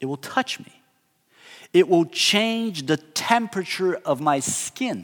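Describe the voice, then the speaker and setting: Speaking at a very slow pace, a man with a high pitch shows very wide pitch swings and big swings in loudness. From southern Brazil. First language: Portuguese. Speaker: pastor. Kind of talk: sermon.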